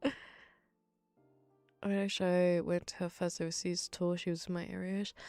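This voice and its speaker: A soft-spoken woman with a fairly low pitch talks at a moderate pace over music in the background. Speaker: ASMR streamer. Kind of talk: ASMR rambling stream. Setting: live stream.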